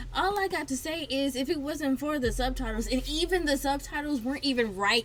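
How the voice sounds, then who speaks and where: Speaking at a fairly quick pace with an American accent, a woman has a high pitch, lively intonation and an animated tone over noticeable background noise. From High Point, North Carolina. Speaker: podcast co-host. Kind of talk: casual chat.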